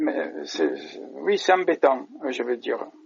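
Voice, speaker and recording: A man is speaking. His pace is very slow. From France, Marseille. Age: 50s. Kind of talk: interview. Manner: halting, many hesitations.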